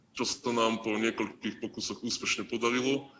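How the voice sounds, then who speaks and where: Noticeable background noise runs through the clip. Over it, a man speaks at a fairly quick pace. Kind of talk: interview answer. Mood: calm, serious. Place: office. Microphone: video call.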